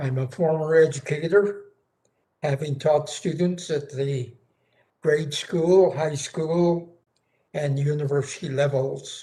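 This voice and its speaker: A man with an American accent, fairly high in pitch, with a dark, mellow, somewhat breathy tone, fairly even intonation, a very slow pace and long, frequent pauses. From Northern California. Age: 90s. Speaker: war veteran and retired educator. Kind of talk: congressional testimony. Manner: formal.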